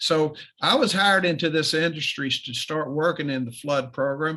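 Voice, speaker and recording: A man with an Appalachian accent speaks at a fairly slow pace in a bright, sharp tone. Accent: Appalachian (hillbilly). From Eastern Kentucky. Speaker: flood claims business owner. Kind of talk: presentation. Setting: video call.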